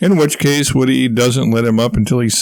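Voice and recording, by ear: The text is read aloud. The voice sounds natural.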